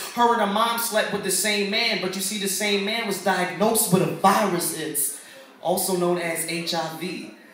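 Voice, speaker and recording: A high-pitched man talks at a moderate pace with an American accent. His intonation is fairly even, and background noise is noticeable. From Philadelphia. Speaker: lyricist, spoken word performer. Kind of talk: spoken word poetry performance. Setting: live open mic in front of a crowd.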